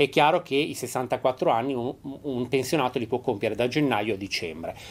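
A man's moderately paced speech comes through noticeable background noise. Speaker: pension advisor at a union office. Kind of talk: call-in TV advice show. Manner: hesitant, frequent fillers. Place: studio.

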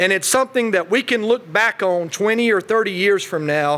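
Over noticeable background noise, a man with an Appalachian accent speaks at a high pitch with lively intonation. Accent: Southern US, Appalachian. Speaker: state politician. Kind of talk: keynote speech. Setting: podium before live audience.

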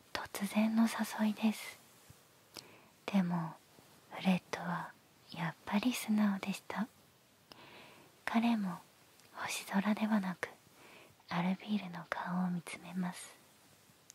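A soft-spoken woman talks at a very slow pace with long, frequent pauses. Her intonation is fairly even, and the sound is dry with no echo. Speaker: ASMR storyteller. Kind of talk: bedtime story reading. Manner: soft, hushed bedtime storytelling voice. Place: home room. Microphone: handheld.

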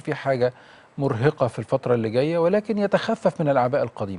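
A man's voice, fairly high in pitch. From Egypt. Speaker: accountant and tax expert; guest. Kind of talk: TV interview. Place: studio. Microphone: lapel.

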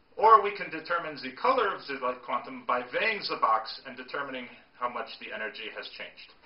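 A man talks at a fairly quick pace with big swings in loudness. There is audible room echo. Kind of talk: storytelling lecture.

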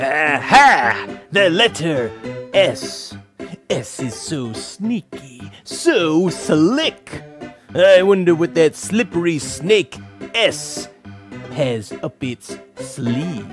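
A cartoonish character voice at middle pitch moves at a very slow pace, with faint music in the background. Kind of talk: children's educational puppet show. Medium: puppet. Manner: theatrical, exclamatory.

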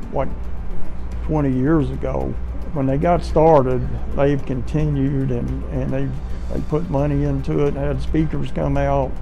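The pace of the speech is fairly slow. Music plays in the background. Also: man. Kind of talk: interview answer. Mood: proud, reflective. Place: office.

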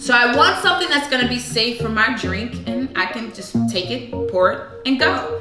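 A woman speaks with clear music playing behind her. Audible echo fills the room. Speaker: host of a product cooking video. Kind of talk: tutorial. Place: kitchen.

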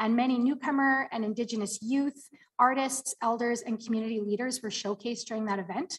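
In an ordinary speaking voice, a woman with a fairly high pitch talks at a fairly quick pace with fairly even intonation over a quiet background. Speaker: city community development staff; presenter. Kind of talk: report presentation. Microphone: video call.

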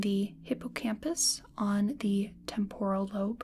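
A soft-spoken woman with a dark, mellow tone and ordinary pitch variation. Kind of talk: soft-spoken explanatory role-play. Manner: soft-spoken ASMR explaining voice.

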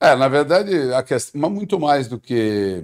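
A man speaks against a quiet background. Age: 50s. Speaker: football coach. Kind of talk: interview. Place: studio. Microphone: studio mic.

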